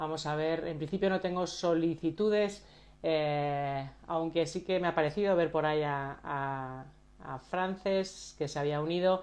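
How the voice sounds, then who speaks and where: Speaking at a fairly slow pace, a woman uses a fairly low pitch and fairly even intonation. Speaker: coach and live stream host. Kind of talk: live stream introduction. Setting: Instagram live video. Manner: soft-spoken; halting.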